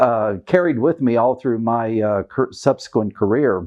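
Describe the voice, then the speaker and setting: At a moderate pace, a man with a Kentucky accent speaks at a medium pitch. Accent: Kentucky Southern American. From US South, Kentucky. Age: 60s. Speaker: retired diplomat. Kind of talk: oral history interview.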